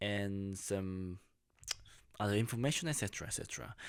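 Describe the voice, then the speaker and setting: Fairly low in pitch, a man speaks with a Korean accent and fairly even intonation on a very clean recording with a silent background. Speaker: YouTuber. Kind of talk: casual vlog monologue. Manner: halting.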